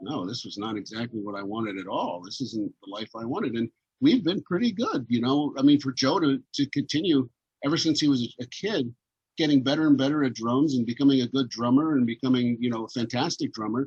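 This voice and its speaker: A plain, everyday voice, spoken at a fairly quick clip with ordinary pitch variation. The sound is dry and close, with no echo. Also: man, medium pitch for a man. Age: 60s. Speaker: entertainer. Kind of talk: casual chat. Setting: video call.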